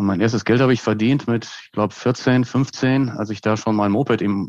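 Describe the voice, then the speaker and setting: A man with a normal speaking voice talks at a moderate pace in a fairly low pitch, with ordinary pitch variation over a quiet background. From Westphalia, Germany (Hagen, edge of Ruhr area). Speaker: brand consultant and professor. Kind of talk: conversational interview.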